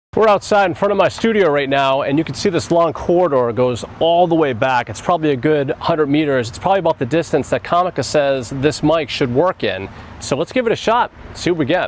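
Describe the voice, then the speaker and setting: A man with a plain, everyday voice speaks fairly high. His intonation is lively. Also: fairly quick pace. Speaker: photographer and gear reviewer. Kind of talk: product review. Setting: outdoors.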